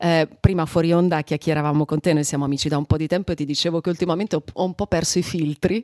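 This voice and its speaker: A woman's fairly low, dark, mellow voice at a very fast pace with hardly any pauses and fairly even intonation, in a dry, close sound with no echo. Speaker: radio host. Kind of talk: casual chat. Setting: studio, in person.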